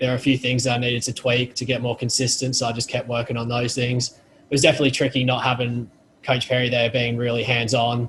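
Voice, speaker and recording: An Australian accent marks this man's medium-pitched voice. He talks at a fairly quick pace with monotone, flat intonation. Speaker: college football punter. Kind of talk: post-practice interview. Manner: halting.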